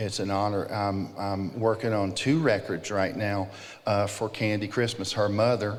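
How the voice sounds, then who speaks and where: With audible room echo, a man with a fairly low pitch speaks at a moderate pace and with fairly even intonation. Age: 50s. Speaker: music producer and ministry leader. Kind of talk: conference panel conversation. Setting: stage with audience.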